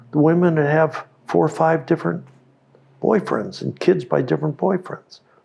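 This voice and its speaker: In an American accent, the speaker has a dark, mellow tone, ordinary pitch variation, and a moderate pace. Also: man, fairly high pitch for a man. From US West Coast, Oakland, California. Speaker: company founder and inventor. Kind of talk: interview conversation. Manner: halting, repeats words.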